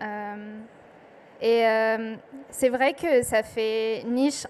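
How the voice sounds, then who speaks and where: A woman speaks with an Arabic accent. Her intonation stays fairly even. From southern Lebanon. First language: Arabic (speaking French). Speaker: poet. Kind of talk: panel talk at book festival. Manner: hesitant, many fillers.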